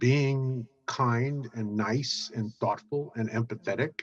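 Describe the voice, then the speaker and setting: A man with an American accent talks at a medium pitch in a somewhat breathy voice. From Brooklyn, New York. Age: 70s. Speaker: business networking expert. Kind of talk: interview. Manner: halting with many fillers.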